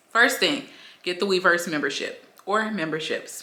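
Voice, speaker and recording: An animated tone and lively intonation in an American accent, over noticeable background noise. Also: woman. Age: 20s. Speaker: YouTuber, K-pop fan. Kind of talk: casual vlog. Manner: fast.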